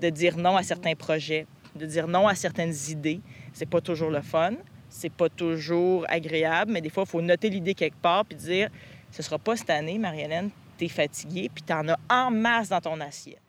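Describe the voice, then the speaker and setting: At a moderate pace, a woman talks in a fairly low voice with ordinary pitch variation. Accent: Quebec. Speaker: podcast host. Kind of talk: casual chat; scripted narration.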